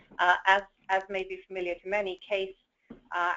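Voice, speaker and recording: In a medium pitch, a woman speaks at a moderate pace. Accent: British. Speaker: education association president. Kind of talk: panel discussion.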